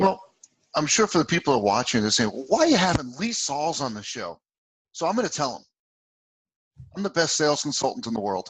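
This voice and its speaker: Talking very fast with long, frequent pauses, a man with a fairly high pitch makes very wide pitch swings and big swings in loudness. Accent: New Jersey. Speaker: sales consultant and author. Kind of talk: interview. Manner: animated.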